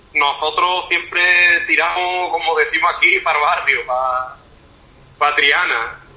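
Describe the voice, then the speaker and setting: Noticeable background noise accompanies delivery that is fairly slow. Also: man. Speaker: band musician. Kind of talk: interview.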